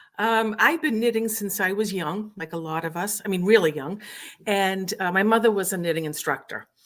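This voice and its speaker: A woman talks at a moderate pace in a medium pitch. Her pitch varies in an ordinary way. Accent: Massachusetts. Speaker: knitting instructor. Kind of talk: interview.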